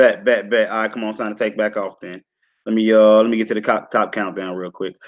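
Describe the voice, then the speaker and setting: The words come very fast. It is a man talking. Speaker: crypto livestream host. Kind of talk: live stream market rundown. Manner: animated.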